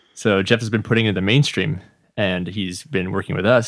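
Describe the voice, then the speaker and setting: Recorded dry and close with no echo, a man with an American accent and an unremarkable speaking voice talks at a fairly quick pace and a fairly low pitch, with ordinary pitch variation. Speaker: electronic music producer. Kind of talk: casual interview chat. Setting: studio.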